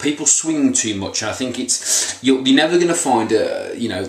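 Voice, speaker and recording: Audible room echo surrounds a man's voice as he talks at a moderate pace. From England. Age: 30s. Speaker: weight loss motivational vlogger. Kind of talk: motivational monologue. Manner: casual, hesitant with fillers. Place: home room. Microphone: webcam.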